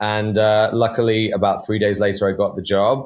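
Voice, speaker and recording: In a very clean recording with a silent background, a man with a southern English accent speaks at a fairly low pitch. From England, Devon. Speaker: actor. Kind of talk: interview.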